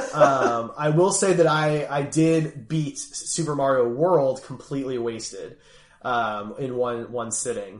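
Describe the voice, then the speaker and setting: With noticeable background noise, a man speaks at a fairly slow pace and a fairly high pitch, with ordinary pitch variation. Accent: American. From US Northeast (Philadelphia). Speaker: gaming podcast host. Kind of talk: casual chat.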